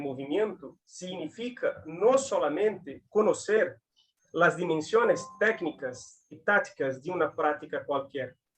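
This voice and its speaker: A man talks with a Brazilian accent. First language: Portuguese (speaking Spanish). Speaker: physical education academic. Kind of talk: academic talk. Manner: halting.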